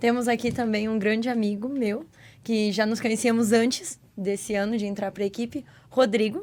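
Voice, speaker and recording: A woman speaks with a normal speaking voice at a fairly high pitch. Her intonation stays fairly even, and her pace is moderate. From Santa Catarina, southern Brazil (Blumenau). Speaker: youth mission volunteer. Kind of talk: casual podcast chat.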